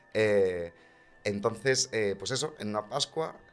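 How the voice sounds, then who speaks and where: Over music in the background, a man speaks at a fairly slow pace in a medium pitch. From Segovia, Spain. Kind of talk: casual chat.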